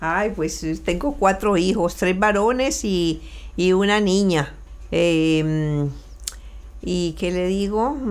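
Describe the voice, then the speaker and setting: Speaking very slowly, a woman takes long, frequent pauses with ordinary pitch variation. Audible room echo surrounds her voice. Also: medium pitch for a woman. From Colombia, Valle del Cauca (Buga/Cali). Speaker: immigrant mother. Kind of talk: interview. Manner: halting, repeats words.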